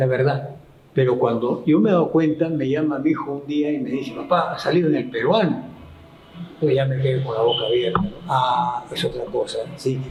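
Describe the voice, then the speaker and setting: Speaking at a fairly quick pace, a man with a fairly high pitch and ordinary pitch variation is heard over noticeable background noise with audible room echo. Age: 70s. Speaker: local historian and chronicler. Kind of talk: interview.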